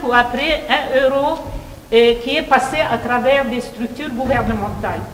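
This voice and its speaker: A woman's high voice at a very slow pace, amid audible room echo and noticeable background noise. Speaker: professor. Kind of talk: speech. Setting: meeting hall with audience, microphone. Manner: hesitant, many fillers.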